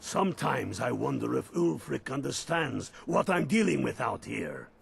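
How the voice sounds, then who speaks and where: A man's raspy put-on character voice at a moderate pace. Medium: video game. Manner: commanding, blunt.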